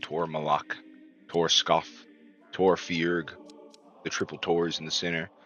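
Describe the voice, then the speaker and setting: Very deep, low male voice at a fairly slow pace, with music in the background. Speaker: video game streamer. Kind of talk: casual chat. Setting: live stream. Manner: mumbling at times.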